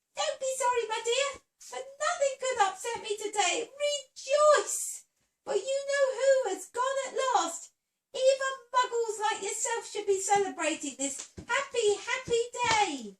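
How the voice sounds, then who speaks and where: In a put-on character voice, a woman speaks in a squeaky, extremely high pitch with lively intonation. Her pace is moderate, with long, frequent pauses. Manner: gleeful, overjoyed.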